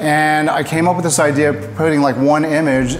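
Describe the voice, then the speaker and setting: There is noticeable background noise and audible room echo as a man speaks at a fairly high pitch. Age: 60s. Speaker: painter. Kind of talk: casual interview. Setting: art gallery studio.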